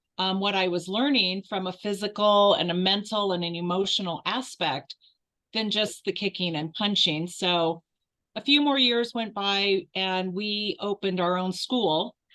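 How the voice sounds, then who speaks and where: A woman talks in an ordinary speaking voice at a medium pitch and a fairly slow pace, with ordinary pitch variation. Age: 60s. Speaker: martial arts and Qigong instructor. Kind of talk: interview. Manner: casual with fillers.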